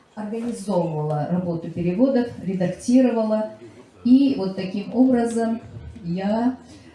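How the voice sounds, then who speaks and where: Noticeable background noise sits behind a woman speaking at a fairly slow pace. Her pitch is fairly high, with ordinary variation. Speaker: literary scholar and lecturer. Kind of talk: public presentation speech. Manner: halting with many filler sounds.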